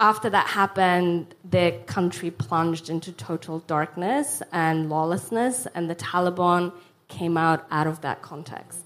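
A woman's plain, everyday voice, fairly low in pitch with ordinary pitch variation, at a fairly slow pace. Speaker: refugee charity founder. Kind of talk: panel discussion. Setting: stage with audience.

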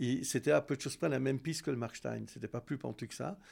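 This man speaks at a medium pitch with lively intonation. The recording is very clean, with a silent background. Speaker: former ski coach and piste chief. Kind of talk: interview testimony. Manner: halting.

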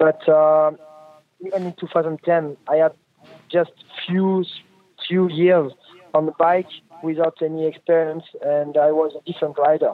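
A man with a French accent speaks in a fairly high pitch and a flat monotone. His pace is moderate, broken by long, frequent pauses. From France. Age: 20s. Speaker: motorcycle racer. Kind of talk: interview. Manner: halting, many fillers.

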